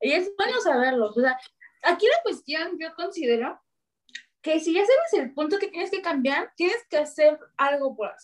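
A woman speaks loudly at a moderate pace, her extremely high pitch swinging very widely. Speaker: lawyer and amateur American football player. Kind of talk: casual chat.

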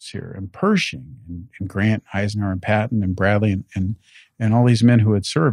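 A man speaks at a moderate pace and a fairly low pitch, with ordinary pitch variation and big swings in loudness. The recording is dry and close with no echo over a quiet background. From South Central Los Angeles area (Lynwood, Paramount). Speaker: state supreme court justice. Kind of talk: interview. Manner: halting with repetitions and fillers.

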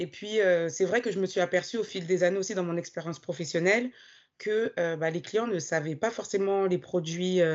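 A medium-pitched woman at a moderate pace, with ordinary pitch variation. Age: 30s. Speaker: bank team manager and personal finance coach. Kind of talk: interview testimony. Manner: hesitant, many fillers.

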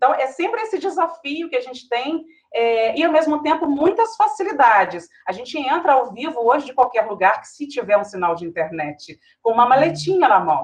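Delivery runs at a moderate pace with big swings in loudness. Pitch swings very widely. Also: woman, high pitch for a woman. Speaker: TV news anchor. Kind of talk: panel discussion.

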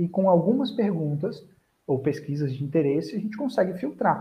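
Pitched high, a man speaks at a moderate pace. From Búzios, Rio de Janeiro state, Brazil. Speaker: digital marketing strategist. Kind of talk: casual online webinar interview.

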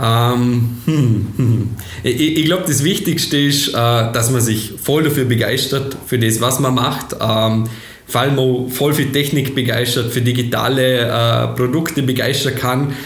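A man's medium-pitched voice at a fairly slow pace, with fairly even intonation and very even loudness, plus audible room echo and noticeable background noise. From Austria, Vorarlberg. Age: 20s. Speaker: software company founder and managing director. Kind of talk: interview. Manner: hesitant, many fillers.

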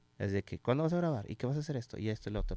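In a Mexican accent, the voice moves with ordinary pitch variation on a very clean recording with a silent background and a dry, close sound free of echo. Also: man. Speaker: former radio host. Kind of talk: casual chat. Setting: studio.

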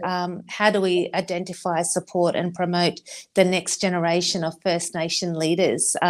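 A woman speaks in an Australian accent at a fairly low pitch. Her intonation is monotone and flat, at a moderate pace. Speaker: marathon runner and foundation board member. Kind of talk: interview.

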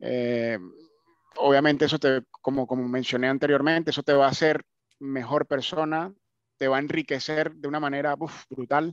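A man with a Venezuelan accent, fairly high in pitch, at a moderate pace with fairly even intonation. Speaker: migrant. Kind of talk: casual chat.

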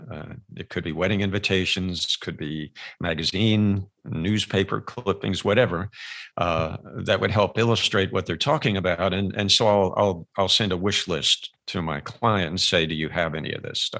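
An American accent from a man with a very deep, low pitch, a bright, sharp tone, ordinary pitch variation and a moderate pace. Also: quiet background. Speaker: video producer and business owner. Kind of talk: interview. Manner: halting, many fillers.

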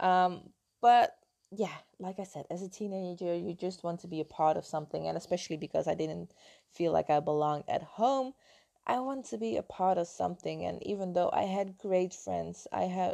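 Over a quiet background, a woman with a Dutch accent speaks at a moderate pace and fairly low pitch, with a dark, mellow tone and ordinary pitch variation. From Netherlands. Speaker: health and mindset coach. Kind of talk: personal storytelling monologue.

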